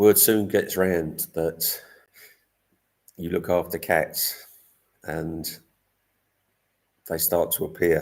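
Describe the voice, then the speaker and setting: Speaking in an English accent at a very slow pace, a man leaves long, frequent pauses. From England. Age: 60s. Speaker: cat rescuer and vlogger. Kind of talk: live stream chat. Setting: live stream.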